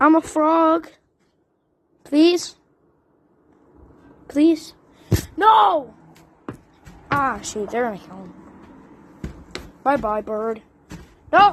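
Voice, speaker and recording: A woman does a put-on character voice with a high pitch. She speaks at a very slow pace. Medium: machinima. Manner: excitable.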